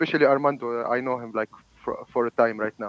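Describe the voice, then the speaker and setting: A man with an Arabic accent talks at a fairly quick pace. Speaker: debater. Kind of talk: heated debate. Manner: halting.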